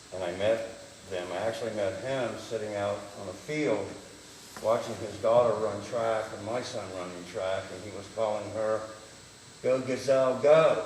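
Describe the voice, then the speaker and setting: A man speaks at a moderate pace and fairly low pitch, with ordinary pitch variation and big swings in loudness. Audible room echo and noticeable background noise surround him. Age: 60s. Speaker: city council member. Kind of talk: council meeting remarks.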